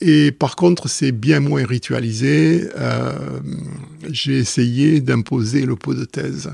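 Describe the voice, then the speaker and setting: Speaking at a very slow pace, a man at medium pitch swings his pitch very widely. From southwestern France. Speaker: mathematician, professor. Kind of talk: casual interview. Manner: hesitant, many fillers.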